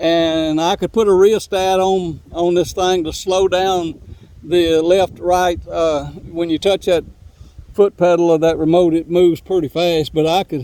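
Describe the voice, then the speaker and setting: Speaking fairly slowly in an East Texas accent, a man holds a high pitch in a monotone, flat intonation. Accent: Southern US (East Texas). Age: 70s. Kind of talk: casual video monologue. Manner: repetitive, stumbling restarts.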